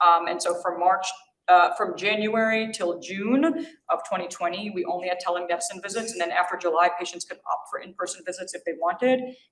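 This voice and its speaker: Audible room echo accompanies fairly quick speech with fairly even intonation. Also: woman, medium pitch for a woman. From New York. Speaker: physician giving grand rounds lecture. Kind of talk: lecture. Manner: fast.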